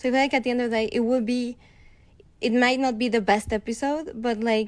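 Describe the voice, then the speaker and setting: The speaker has a Spanish accent, talking at a fairly quick pace with very even loudness and fairly even intonation. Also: woman, high pitch for a woman. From Mexico. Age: 20s. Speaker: host's girlfriend. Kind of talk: casual chat.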